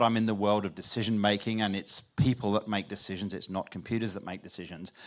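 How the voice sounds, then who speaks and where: Very fast, a man rattles through his words. The recording is very clean, with a silent background. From England. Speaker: conference speaker on decision making. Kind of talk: conference keynote talk. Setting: stage with audience. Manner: animated.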